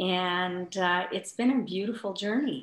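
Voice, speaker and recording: Audible room echo surrounds a woman talking at a fairly slow pace. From India. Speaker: spiritual healer and yoga teacher; yoga teacher. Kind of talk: interview. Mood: calm, warm, reflective. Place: home room. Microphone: video call.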